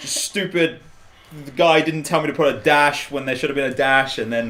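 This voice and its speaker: A man speaks with a fairly high pitch and an animated tone. Noticeable noise sits in the background. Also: ordinary pitch variation, moderate pace. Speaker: video producer. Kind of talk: casual chat. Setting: live stream. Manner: loud.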